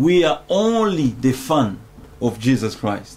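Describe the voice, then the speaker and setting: Speaking at a very slow pace, a man has a fairly high pitch. His tone is dark and mellow, and somewhat breathy. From Congo. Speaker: pastor. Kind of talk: preaching-style explanation. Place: home room. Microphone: studio mic.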